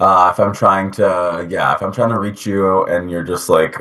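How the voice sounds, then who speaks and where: A man's very deep, low voice with a bright, sharp tone, fairly even intonation and an American accent. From US, New Jersey. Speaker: interviewee. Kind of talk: interview answers. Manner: casual, filler-heavy.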